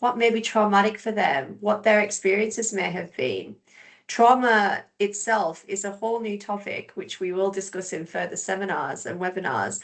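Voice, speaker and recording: At a moderate pace and medium pitch, a woman with an English accent speaks with ordinary pitch variation against a quiet background. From England. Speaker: behaviour support specialist. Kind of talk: webinar presentation.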